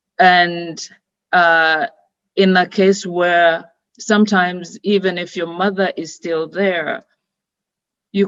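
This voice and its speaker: A woman's fairly low voice in a Ugandan accent, with ordinary pitch variation. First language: Luganda. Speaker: founder and director of a women's organization. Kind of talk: webinar opening remarks. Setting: online webinar. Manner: hesitant, many fillers.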